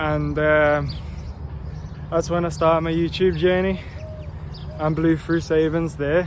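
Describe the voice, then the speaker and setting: A man talks very slowly, with noticeable background noise and audible room echo around him. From Liverpool, England. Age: 20s. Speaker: YouTuber and real estate agent. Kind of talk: casual vlog monologue. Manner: casual and conversational, with fillers.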